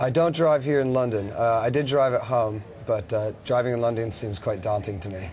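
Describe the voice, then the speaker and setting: A man with an American accent at a fairly quick pace, somewhat breathy, medium in pitch, with ordinary pitch variation. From United States. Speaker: rock band guitarist. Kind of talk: TV interview. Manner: hesitant, many fillers.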